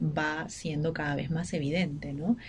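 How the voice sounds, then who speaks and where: Somewhat breathy, a woman talks with a very deep, low pitch and fairly even intonation. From Peru, Ica. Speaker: writer and journalist. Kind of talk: radio interview. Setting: radio studio. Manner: halting.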